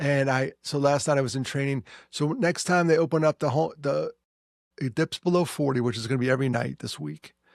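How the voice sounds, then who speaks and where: Speaking with a New York accent, a man talks at a fairly quick pace with fairly high pitch and ordinary pitch variation. The sound is dry and close with no echo, on a very clean recording with a silent background. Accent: New York area American. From US Northeast, New York. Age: 60s. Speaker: podcast host and suicide prevention speaker. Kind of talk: casual chat. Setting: office.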